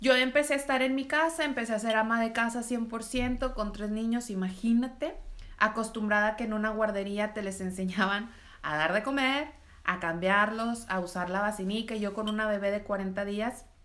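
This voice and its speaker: A woman has a normal speaking voice with a fairly high pitch. Her pace is moderate and her pitch variation ordinary. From Mexico, Reynosa, Tamaulipas. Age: 30s. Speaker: entrepreneur. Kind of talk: interview.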